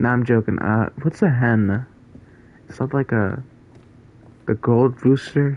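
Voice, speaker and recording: This man has a non-native accent and a medium pitch, speaking at a fairly slow pace. His pitch varies in an ordinary way, and he leaves long, frequent pauses. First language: not English. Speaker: gaming streamer. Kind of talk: live gameplay stream chat. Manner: casual, hesitant with fillers.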